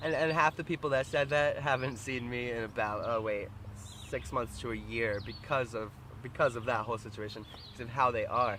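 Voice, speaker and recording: With ordinary pitch variation, a man delivers his words at a fairly quick pace. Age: 20s. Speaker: vlogger. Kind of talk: casual vlog monologue. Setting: outdoors by the water. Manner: loud; halting, repetitive.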